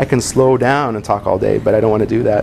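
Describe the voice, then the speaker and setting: Very fast speech with fairly even intonation amid noticeable background noise. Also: man. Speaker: web business consultant and presenter. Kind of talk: presentation to a small group.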